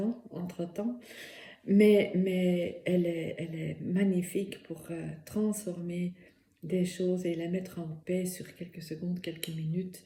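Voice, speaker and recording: A woman with a fairly low voice speaks very slowly. Her intonation stays fairly even. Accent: Dutch. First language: Dutch (speaking French). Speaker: therapist and workshop instructor. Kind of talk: personal testimony and presentation. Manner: hesitant, many fillers.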